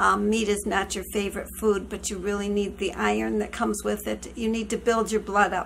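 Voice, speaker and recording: This woman has an ordinary speaking voice, fairly high in pitch with ordinary pitch variation, and she keeps a moderate pace. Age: 60s. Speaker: vlogger. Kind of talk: casual chat. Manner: chatty, warm.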